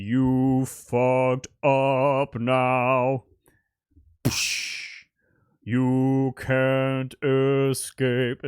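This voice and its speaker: A put-on character voice, low-to-middle in pitch and flat in a monotone, very slow with long, frequent pauses. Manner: menacing.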